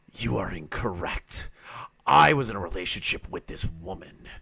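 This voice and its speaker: A man puts on a character voice, raspy and very deep in pitch. He keeps a moderate pace. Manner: creepy.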